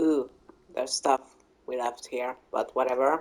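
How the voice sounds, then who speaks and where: Through noticeable background noise, a woman speaks in a very deep, low voice. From Hungary. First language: Hungarian. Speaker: gaming YouTuber. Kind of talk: casual gameplay commentary. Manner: hesitant, many fillers.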